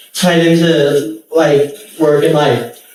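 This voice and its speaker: In an American accent, a man talks over noticeable background noise. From Northern California. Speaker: comedian. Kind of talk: stand-up. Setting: stage with audience. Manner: halting, stutters and restarts.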